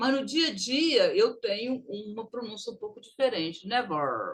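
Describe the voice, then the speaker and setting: A woman's high voice at a fairly slow pace. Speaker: English teacher. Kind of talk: recorded online lesson.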